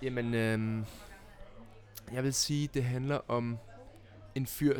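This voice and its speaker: Speaking at a very slow pace, a man with a medium pitch keeps a monotone, flat intonation. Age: young. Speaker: film director and actor. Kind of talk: casual chat. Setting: studio.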